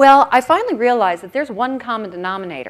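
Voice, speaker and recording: An animated woman with an American accent, very wide pitch swings and a very fast pace. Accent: American accent noticeable in Australia. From US Midwest (Oconomowoc, Wisconsin). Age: 50s. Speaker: keynote speaker, career consultant. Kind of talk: conference keynote. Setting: stage with audience.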